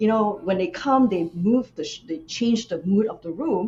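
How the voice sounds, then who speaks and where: A woman speaks at a moderate pace in a dark, mellow tone, somewhat breathy. Her pitch swings very widely. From Malaysia. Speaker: nephrologist and executive presence coach. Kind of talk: interview.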